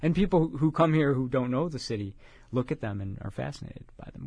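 This man speaks very fast at a medium pitch, somewhat breathy, with ordinary pitch variation. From Chicago. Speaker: writer. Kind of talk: interview. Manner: halting.

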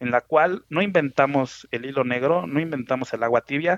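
A man is talking. The pitch shows ordinary variation. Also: dry, close sound with no echo. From Mexico City. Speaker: truck company executive. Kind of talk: interview. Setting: phone call.

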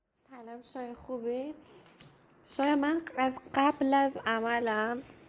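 Noticeable background noise behind a high-pitched female voice. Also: long, frequent pauses, big swings in loudness. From Iran. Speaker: listener sending a voice message. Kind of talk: recorded voice message, personal testimony.

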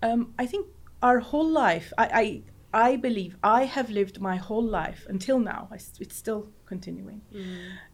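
A woman's fairly high, somewhat breathy voice shows ordinary pitch variation and big swings in loudness. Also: fairly slow pace. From northern Cyprus. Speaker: sociologist. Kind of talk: casual chat. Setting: studio.

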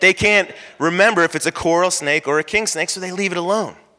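A loud man with an American accent speaks with a high pitch, a bright, sharp tone and ordinary pitch variation. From Florida. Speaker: pastor. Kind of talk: sermon. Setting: church.

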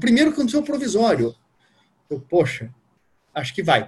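A man speaks with lively intonation. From Curitiba, southern Brazil. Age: 30s. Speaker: newly passed diplomat, former sports journalist. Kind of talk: interview. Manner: casual.

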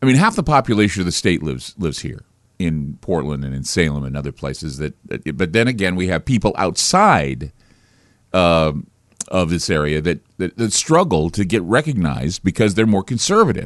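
A man with a very deep, low pitch speaks at a moderate pace. His intonation is lively, and there is vocal fry in his voice. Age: 50s. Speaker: talk radio host. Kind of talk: radio monologue. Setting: studio. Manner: halting, frequent repetitions.

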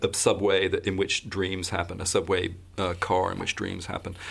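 A man at a fairly quick pace with hardly any pauses. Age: 50s. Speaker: theatre designer. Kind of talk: interview. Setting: studio. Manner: halting.

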